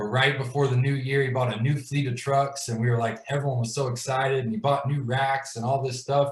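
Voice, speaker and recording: The speaker talks at a fairly quick pace with hardly any pauses, their somewhat breathy voice flat and monotone against audible room echo. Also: man, medium pitch for a man. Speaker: glass business owner telling his story. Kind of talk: personal story in a live video chat. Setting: video call livestream. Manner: casual, filler-heavy.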